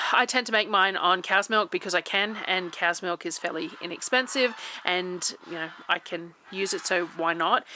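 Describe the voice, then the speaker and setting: Against noticeable background noise, a woman speaks with an Australian accent and ordinary pitch variation. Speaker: homesteading vlogger. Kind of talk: vlog voiceover. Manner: fast.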